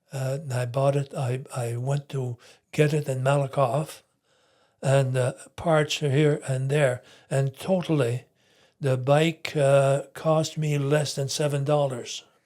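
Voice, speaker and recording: The recording is very clean, with a silent background, as a man speaks very slowly in a fairly high pitch. His voice is somewhat breathy, with a monotone, flat intonation. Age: 80s+. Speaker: retired entrepreneur. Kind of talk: interview answer. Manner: hesitant.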